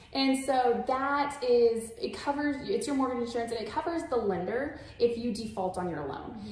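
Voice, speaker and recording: With an American accent, a woman speaks at a moderate pace in a high voice with lively intonation and hardly any pauses, amid light background noise and audible room echo. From San Antonio, Texas; Texas. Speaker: mortgage lender. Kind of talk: webinar presentation. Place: home room.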